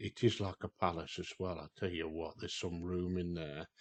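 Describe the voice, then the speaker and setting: With a British accent, this man's voice sits at a very deep, low pitch. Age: 60s. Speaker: outdoors vlogger. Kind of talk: casual vlog walkthrough. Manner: hesitant, many fillers.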